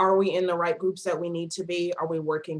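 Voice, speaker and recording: A woman speaks with a northern US accent at a very fast pace. Her intonation is monotone and flat. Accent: northern US (Yankee). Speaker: nonprofit project coordinator. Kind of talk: presentation.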